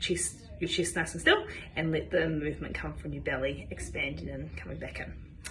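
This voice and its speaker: A woman with a New Zealand accent talks at a moderate pace over noticeable background noise. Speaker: physiotherapist. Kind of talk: instructional health talk to camera.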